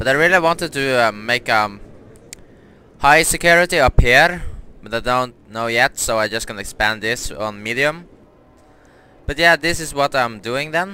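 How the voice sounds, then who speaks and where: A man at a moderate pace with long, frequent pauses, in a bright, sharp tone with lively intonation. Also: dry sound with no echo. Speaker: gamer. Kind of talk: casual gameplay commentary.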